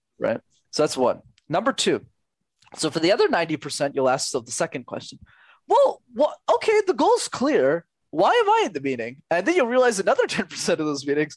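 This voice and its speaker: At a moderate pace, a man with a Canadian accent talks in an energetic tone, the sound dry and close with no echo. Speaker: communication coach. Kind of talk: interview. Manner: talkative.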